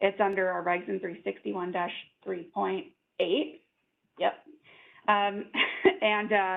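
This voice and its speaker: A woman speaks at a fairly slow pace, leaving long, frequent pauses. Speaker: state environmental agency staff presenter. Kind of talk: webinar Q&A answering questions. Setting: online webinar. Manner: loud.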